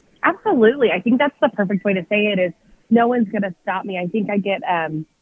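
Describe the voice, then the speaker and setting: With a Texan accent, a woman speaks at a fairly quick pace in a medium pitch, her intonation lively. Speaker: country music singer. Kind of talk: casual interview. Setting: phone call. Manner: animated.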